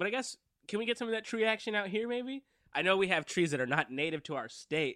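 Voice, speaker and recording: A very fast, raised, projected voice with an American accent, bright and sharp in tone, swinging very widely in pitch, dry and close with no echo, in a very clean recording against a silent background. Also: man, high pitch for a man. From Downey, California (Los Angeles suburb). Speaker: improv comedian. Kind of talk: casual chat.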